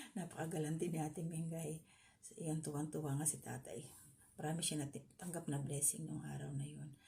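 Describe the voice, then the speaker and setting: A woman talks at a fairly quick pace in a very deep, low pitch with a dark, mellow tone and vocal fry. Her intonation stays fairly even, and the room echo is audible. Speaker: vlogger. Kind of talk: reaction commentary.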